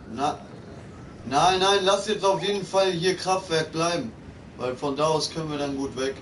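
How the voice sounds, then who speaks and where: Over light background noise, a man with a fairly high pitch speaks at a fairly slow pace, with ordinary pitch variation and long, frequent pauses. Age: 20s. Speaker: gaming streamer. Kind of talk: live gaming stream chat. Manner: animated. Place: home room.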